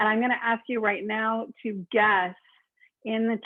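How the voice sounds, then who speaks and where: A woman talks at a fairly high pitch. She has an American accent. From rural Oregon. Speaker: downtown development consultant. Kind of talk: presentation. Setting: video call. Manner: fast.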